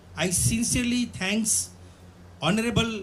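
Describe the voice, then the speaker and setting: A man's voice comes with audible room echo. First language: Bhantu. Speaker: theatre director, guest of honor lecturer. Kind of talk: formal address / lecture.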